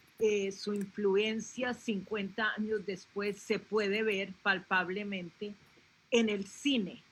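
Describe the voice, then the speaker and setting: This woman's voice is somewhat breathy and medium-pitched, with monotone, flat intonation. She speaks at a very slow pace. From Colombia. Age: 70s. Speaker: panelist, relative of a film club founder. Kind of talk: panel discussion. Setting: live video stream.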